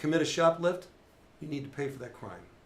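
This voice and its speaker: Through audible room echo, a man talks at a fairly quick pace with ordinary pitch variation. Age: 60s. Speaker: retired police officer. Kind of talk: casual chat.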